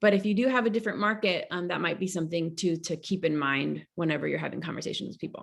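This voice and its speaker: Rushing at a very fast pace with hardly any pauses, a woman with a fairly low pitch and vocal fry shows ordinary pitch variation. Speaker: real estate agent. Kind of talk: team meeting presentation.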